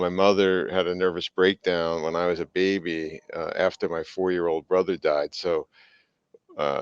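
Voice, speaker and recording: A man speaks in a monotone, flat intonation at a very deep, low pitch, in a dry, close sound with no echo. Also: moderate pace. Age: 60s. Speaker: business executive and coach. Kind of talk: interview testimony.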